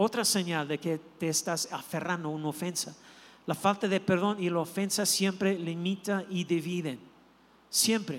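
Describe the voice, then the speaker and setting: At a moderate pace, a high-pitched man speaks with fairly even intonation on a very clean recording with a silent background. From not from Mexico. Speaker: pastor. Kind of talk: sermon. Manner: halting.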